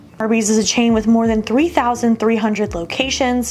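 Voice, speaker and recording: A woman with an American accent and fairly high pitch speaks over noticeable background noise. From US Midwest, Youngstown, Ohio. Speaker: food show presenter. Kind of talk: scripted narration; casual vlog chat.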